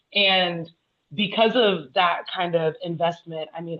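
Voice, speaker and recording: Using a plain, everyday voice with an American accent, a woman talks at a moderate pace with fairly low pitch and fairly even intonation. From United States. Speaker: panel speaker. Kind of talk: panel discussion.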